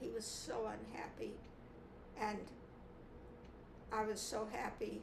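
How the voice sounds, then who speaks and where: Noticeable background noise is present. Over it, this woman speaks very slowly. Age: 80s+. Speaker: mentor and author. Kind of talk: interview answer.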